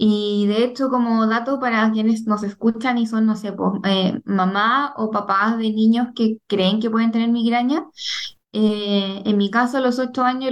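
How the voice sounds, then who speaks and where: A woman at a fairly slow pace, with fairly even intonation. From Chile. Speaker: migraine patient and digital journalist. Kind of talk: testimony.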